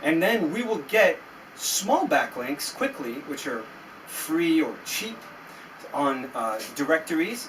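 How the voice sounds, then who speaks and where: A man with an American accent speaks at a very slow pace and a fairly high pitch. His pitch swings very widely, and noticeable background noise is present. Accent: sounds American. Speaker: SEO agency founder. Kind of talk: tutorial. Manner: animated.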